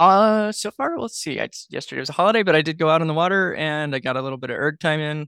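A man's fairly high, bright, sharp voice in a very clean recording with a silent background, dry and close with no echo. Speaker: coxswain. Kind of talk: casual chat.

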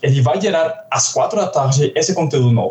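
A man talks in a Colombian accent. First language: Spanish (speaking Portuguese). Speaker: software developer. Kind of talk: casual tech podcast discussion.

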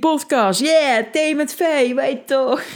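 A woman's high-pitched voice. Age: 20s. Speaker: podcast host, life coach. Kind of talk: casual solo podcast monologue. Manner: animated.

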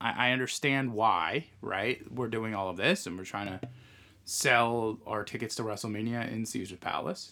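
A man with a bright, sharp tone and medium pitch speaks at a moderate pace with ordinary pitch variation, recorded very cleanly against a silent background. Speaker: podcast host. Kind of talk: casual chat.

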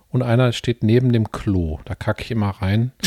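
A man's dark, mellow voice comes through with a dry, close sound and no echo. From Ruhr area, Gelsenkirchen. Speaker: podcast co-host. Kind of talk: casual chat. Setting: home living room, portable podcast setup.

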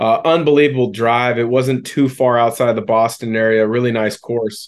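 A man with a plain, everyday voice at a moderate pace. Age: 40s. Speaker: podcast host, former basketball player. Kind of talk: interview.

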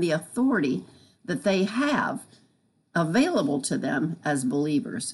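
With vocal fry and very wide pitch swings, a woman speaks at a moderate pace. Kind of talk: devotional teaching.

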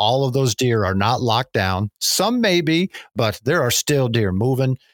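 A man speaks in an unremarkable speaking voice, medium in pitch, with an American accent, at a moderate pace. The sound is dry and close with no echo, on a very clean recording with a silent background. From northern Pennsylvania. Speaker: wildlife biologist. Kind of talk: interview.

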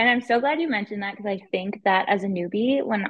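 A woman with an unremarkable speaking voice and a Canadian accent, medium pitch, ordinary pitch variation and a fairly quick pace. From Ottawa, Ontario, Canada. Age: 30s. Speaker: real estate investor. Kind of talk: casual interview. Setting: video call.

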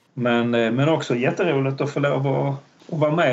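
A man's medium-pitched voice keeps a fairly even intonation while noticeable background noise sits behind it. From Malmö, Skåne, southern Sweden. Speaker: history professor. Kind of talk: interview. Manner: hesitant, many fillers.

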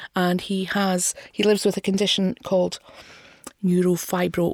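In a Scottish accent, a woman talks at a medium pitch with monotone, flat intonation. The sound is dry and close, with no echo. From Scotland, not Glasgow. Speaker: podcast co-host, film reviewer. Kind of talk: casual film discussion.

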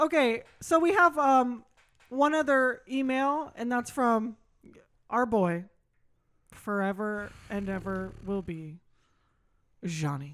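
A woman speaks very slowly, with long, frequent pauses and very wide pitch swings. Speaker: podcast co-host. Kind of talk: casual chat.

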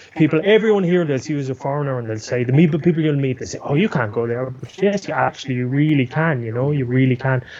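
With hardly any pauses, a man talks at a very fast pace. His pitch is fairly high, and noticeable background noise is present. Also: ordinary pitch variation. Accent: Irish. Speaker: news producer and camera operator. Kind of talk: interview. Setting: remote call. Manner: animated.

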